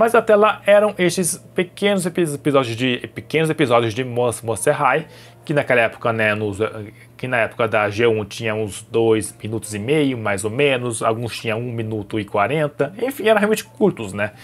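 Music sits in the background as a man speaks at a medium pitch and a moderate pace. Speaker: YouTuber. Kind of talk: personal vlog. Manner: halting.

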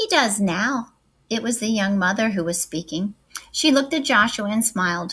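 This is a natural reading voice with lively intonation.

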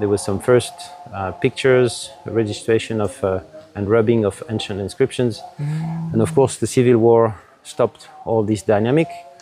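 A man speaks at a moderate pace in a dry recording with no echo, with faint music playing in the background. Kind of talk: interview answer. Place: garden. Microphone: lapel.

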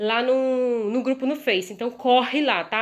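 The tone of this woman's voice is animated. She talks at a high pitch. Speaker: cake decorator and video host. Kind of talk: tutorial. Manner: fast.

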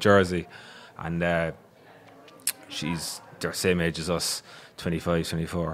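A man speaks with a Cork accent. There is light background noise. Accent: Irish (Cork). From Ireland. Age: 30s. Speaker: podcast host. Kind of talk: casual chat. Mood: relaxed, joking storytelling. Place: studio. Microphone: studio mic.

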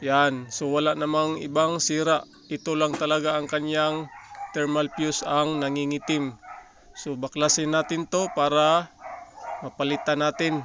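A man with a fairly high pitch talks at a fairly slow pace in a monotone, flat intonation, the sound dry with no echo and noticeable background noise. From Philippines. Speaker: appliance repair vlogger. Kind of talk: tutorial. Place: workshop. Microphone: phone near.

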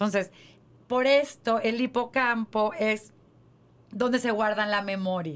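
At a very slow pace, a woman speaks with a fairly high pitch and long, frequent pauses. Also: ordinary pitch variation. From Mexico. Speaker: podcast co-host. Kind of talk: casual chat. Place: studio. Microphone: studio mic.

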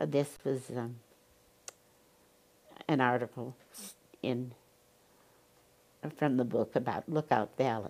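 In an American accent, a woman with a very deep, low pitch speaks at a very slow pace with long, frequent pauses. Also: ordinary pitch variation. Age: 80s+. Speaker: retired English teacher. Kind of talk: reading old letters aloud.

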